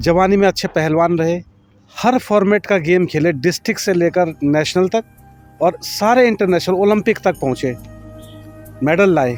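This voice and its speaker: There is music in the background as a man speaks at a high pitch. His pitch varies in an ordinary way. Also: very even loudness. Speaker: wrestling video maker. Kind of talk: documentary narration.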